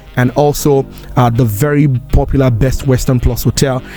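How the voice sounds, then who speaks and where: A man speaks at a moderate pace with a medium pitch. Music plays in the background. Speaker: broadcaster, voiceover artist. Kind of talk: casual talk to camera.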